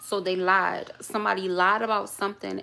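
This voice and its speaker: Over noticeable background noise, a woman with an American accent speaks at a medium pitch in a monotone, flat intonation. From New York, schooled in Baltimore. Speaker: tarot reader. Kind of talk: live tarot reading stream. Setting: livestream. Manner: casual, conversational.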